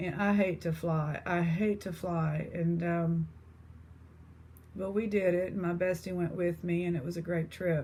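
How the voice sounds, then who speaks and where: A woman's somewhat breathy, dark, mellow voice in an East Texas accent, at a fairly slow pace with monotone, flat intonation. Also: fairly low pitch for a woman. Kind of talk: casual chat.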